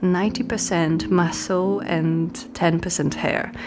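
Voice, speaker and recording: Music plays in the background. A woman with a fairly low pitch speaks at a very slow pace. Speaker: art YouTuber. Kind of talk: casual video commentary.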